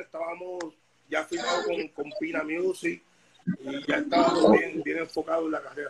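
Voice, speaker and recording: A man at a fairly quick pace. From Puerto Rico (Bayamón), born in Dominican Republic. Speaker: reggaeton artist. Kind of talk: casual interview.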